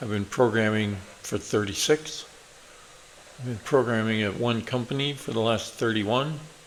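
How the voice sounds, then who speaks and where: A man speaks at a medium pitch with ordinary pitch variation and a fairly slow pace. Noticeable background noise runs underneath. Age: 60s. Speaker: programmer and tech YouTuber. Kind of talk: casual channel introduction. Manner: hesitant with frequent fillers.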